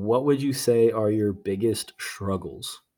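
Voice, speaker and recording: A man with an American accent talks at a moderate pace. He has an unremarkable speaking voice at medium pitch. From Virginia (Norfolk). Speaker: podcast host. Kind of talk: casual chat.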